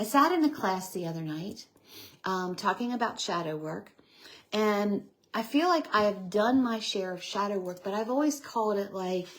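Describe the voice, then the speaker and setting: A woman with a medium-pitched voice talks with lively intonation. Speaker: evidential medium, livestream host. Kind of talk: casual livestream talk. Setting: live video stream. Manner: fast.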